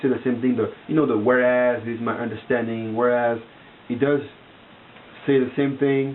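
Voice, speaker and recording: A man talks with a non-native accent at a medium pitch. Noticeable background noise runs under his voice. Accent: foreign. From outside the US. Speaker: vlogger. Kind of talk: casual monologue to camera. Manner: halting, many fillers and repetitions.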